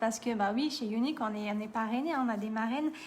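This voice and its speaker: A woman's voice with lively intonation. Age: 30s. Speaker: makeup seller and tutorial host. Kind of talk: live-stream makeup tutorial. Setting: live video stream. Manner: chatty, informal.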